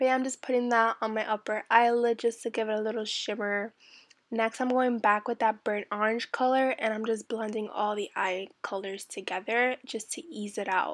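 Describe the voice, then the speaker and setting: A woman's fairly high voice at a moderate pace, monotone and flat in intonation, over a quiet background. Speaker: makeup vlogger. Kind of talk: tutorial. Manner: casual.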